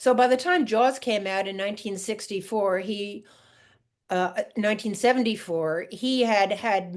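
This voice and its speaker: A woman's unremarkable speaking voice, with an American accent, medium pitch, ordinary pitch variation and a fairly slow pace, against a quiet background. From Long Island, New York (Montauk). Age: 60s. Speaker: fisherman's daughter, sailor. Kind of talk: podcast interview.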